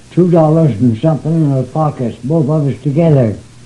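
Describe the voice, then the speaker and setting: A man with ordinary pitch variation, over noticeable background noise. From southern Illinois. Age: 90s. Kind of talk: oral history interview answer.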